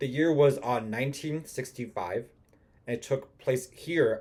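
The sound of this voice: An unforced voice reads aloud, its pitch rising and falling in an ordinary way.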